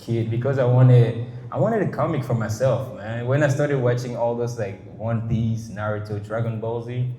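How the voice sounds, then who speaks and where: A man talks at a fairly quick pace, medium in pitch, with fairly even intonation. Audible room echo and noticeable background noise are present. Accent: French. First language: French. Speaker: artist. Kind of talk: casual interview. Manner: halting, many false starts and fillers.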